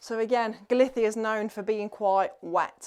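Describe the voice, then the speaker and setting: In an English accent, a woman with a fairly high pitch talks at a moderate pace with fairly even intonation over a quiet background. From England. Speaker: vlogger. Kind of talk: house tour vlog. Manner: casual, hesitant with fillers; loud.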